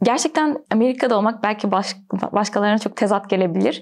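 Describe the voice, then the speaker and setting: A woman talks at a medium pitch while noticeable background noise carries on around her. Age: 20s. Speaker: graduate student. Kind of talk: interview.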